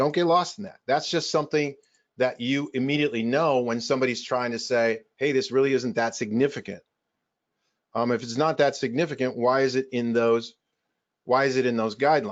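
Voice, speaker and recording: A plain, everyday voice from a man at medium pitch with ordinary pitch variation. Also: fairly quick pace. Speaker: chiropractor presenting to doctors. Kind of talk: webinar presentation.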